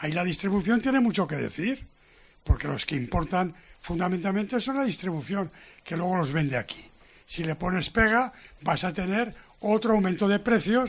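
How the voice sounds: A man speaks at a moderate pace in a high voice, his intonation lively.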